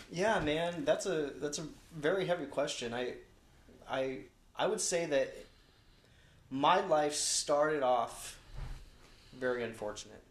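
Audible room echo surrounds a man with an American accent who speaks at a fairly slow pace with long, frequent pauses. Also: fairly high pitch for a man, ordinary pitch variation. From Long Beach, California. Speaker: pastor. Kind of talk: casual chat. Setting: studio.

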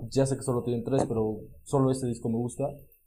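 This man's voice has a dark, mellow tone. It sounds somewhat breathy. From Puebla, Mexico. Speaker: podcast co-host. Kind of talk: casual chat.

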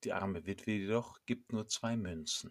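A man with a plain, everyday voice speaks at a fairly slow pace and fairly low pitch, with ordinary pitch variation, on a very clean recording with a silent background. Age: 50s. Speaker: priest. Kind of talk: scripted sermon.

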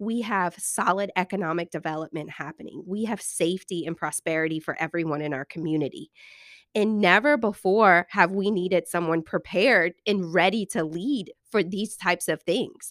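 The recording is very clean with a silent background, and a woman with a Louisiana accent sounds dry and close with no echo. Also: medium pitch for a woman, ordinary pitch variation, moderate pace. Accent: southern US (Louisiana). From Louisiana (Thibodaux area). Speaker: podcast host. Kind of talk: interview.

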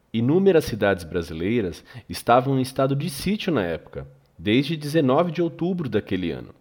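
Very wide pitch swings and vocal fry from a man at medium pitch, moderate pace, on a very clean recording with a silent background. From Brazil. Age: 40s. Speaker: podcast host. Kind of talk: scripted narration.

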